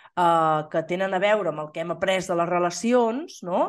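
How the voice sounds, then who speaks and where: A woman has an unremarkable speaking voice with lively intonation. She talks at a fairly slow pace against a quiet background. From Catalonia, Osona (Torelló). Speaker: podcast co-host. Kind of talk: casual chat.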